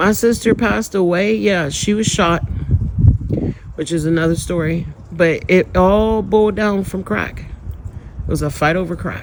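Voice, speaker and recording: With an animated tone, a man speaks at a high pitch and a fairly slow pace, his pitch varying in an ordinary way, with long, frequent pauses and noticeable background noise. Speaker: spiritual vlogger. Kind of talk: personal testimony.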